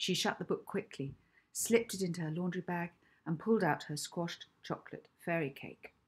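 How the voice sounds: The voice has a slightly husky edge, ordinary pitch variation and a moderate pace. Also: woman, fairly low pitch for a woman.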